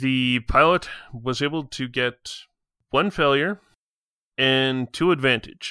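A man's medium-pitched voice with a bright, sharp tone and ordinary pitch variation, very slow with long, frequent pauses, in a dry, close sound with no echo and a very clean recording with a silent background. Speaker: game master. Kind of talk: tabletop roleplaying podcast.

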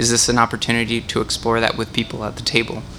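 With noticeable background noise behind him, a man at a medium pitch talks at a very fast pace. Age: young adult. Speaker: young adult group leader. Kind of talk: group discussion facilitation. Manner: halting.

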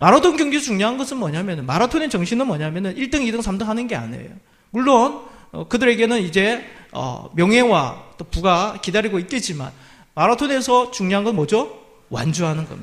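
A man's voice sits high, with very wide pitch swings. He keeps a moderate pace. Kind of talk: sermon. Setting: church.

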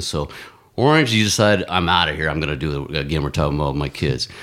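A man talks fairly quickly, with vocal fry in his voice. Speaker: marathon runner and ex-Marine. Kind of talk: casual chat. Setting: studio.

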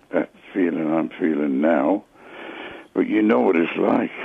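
A man is talking fairly slowly. Noticeable background noise sits behind him. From England, Luton. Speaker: caller. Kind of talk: emotional phone call. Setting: phone call. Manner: halting.

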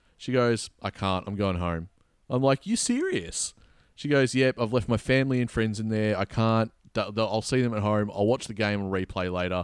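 Heard on a very clean recording with a silent background, a man with an Australian accent speaks at a moderate pace with ordinary pitch variation, the sound dry and close with no echo. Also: fairly low pitch for a man. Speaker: podcast host. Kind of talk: casual chat, sports recap.

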